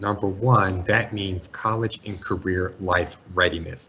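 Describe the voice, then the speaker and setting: Somewhat breathy, a man speaks at a moderate pace. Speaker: school college and career counselor. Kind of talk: webinar presentation.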